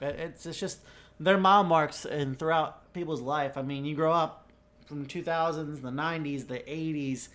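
Here a man speaks with a Southern US accent at a fairly high pitch. His pace is fairly slow and his intonation fairly even. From southeastern US (Carolinas, Florida). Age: 20s. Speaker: podcast co-host. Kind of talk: casual chat. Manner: rambling, filler words.

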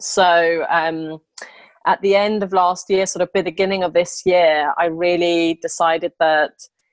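Here a woman with an English accent speaks at a very slow pace. Her pitch is medium, and the sound is dry and close with no echo. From England. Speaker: interior designer. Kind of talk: interview. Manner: hesitant, many fillers.

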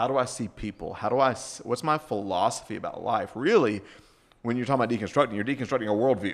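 Very fast speech from a man with an American accent, ordinary pitch variation, quiet background. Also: medium pitch for a man. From US South. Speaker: pastor and author. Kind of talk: casual chat.

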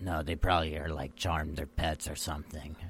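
Using a put-on character voice with a very deep, low pitch, a man talks at a fairly quick pace in monotone, flat intonation over clear background noise. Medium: actual play. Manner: simple, casual, says man a lot.

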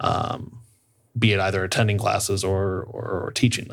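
Vocal fry runs through this voice with an American accent and ordinary pitch variation. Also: man. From Iowa, US Midwest. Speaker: play therapist. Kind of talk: casual chat.

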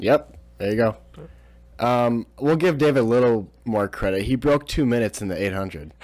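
A man's medium-pitched voice, an ordinary speaking voice, at a moderate pace with lively intonation. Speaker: podcast host and student-athlete. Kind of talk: podcast interview. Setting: basement.

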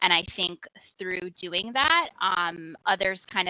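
With an American accent, this voice has a bright, sharp tone, ordinary pitch variation and a moderate pace, recorded dry and close with no echo. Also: woman. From US, Jamaican family. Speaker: spoken word poet. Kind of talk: panel discussion.

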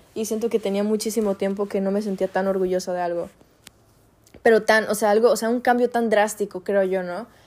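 Speaking at medium pitch in a Mexican accent, a woman goes at a fairly quick pace with monotone, flat intonation on a very clean recording with a silent background. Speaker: podcaster. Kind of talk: personal monologue. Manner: halting.

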